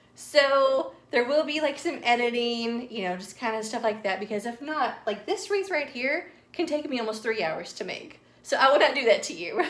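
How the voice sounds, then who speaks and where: Her pitch is high, with very wide swings, as this woman talks at a moderate pace. She has a Southern US accent. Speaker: craft youtuber. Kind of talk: tutorial. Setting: at home. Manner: casual, filler-heavy.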